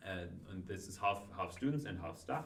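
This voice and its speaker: In a non-native accent, a man speaks with a fairly low pitch. Audible room echo and noticeable background noise surround his voice. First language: not Dutch. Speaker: law student, student association member. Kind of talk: casual chat.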